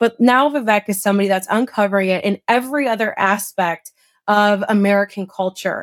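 A plain, everyday voice from a woman, medium-pitched and at a fairly quick pace, with very even loudness, fairly even intonation and a dry, close sound with no echo. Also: very clean recording, silent background. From Illinois, small town outside Chicago. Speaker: former congressional candidate. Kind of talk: interview conversation.

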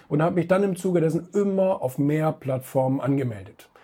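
At a very fast pace, a man speaks with ordinary pitch variation in a somewhat breathy voice with a dark, mellow tone. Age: 30s. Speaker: magazine publisher and author. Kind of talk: interview.

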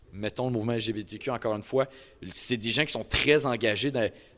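In a very clean recording with a silent background, a plain, everyday voice talks at a fairly quick pace. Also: man. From Quebec, Beauce. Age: young. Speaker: CEGEP student. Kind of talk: live panel discussion. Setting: live event with audience.

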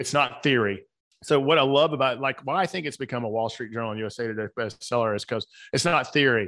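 A very fast, bright, sharp male voice of medium pitch in a Southern US accent, with ordinary pitch variation, in a very clean recording with a silent background. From US South, Atlanta. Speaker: author and coach. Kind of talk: casual interview conversation.

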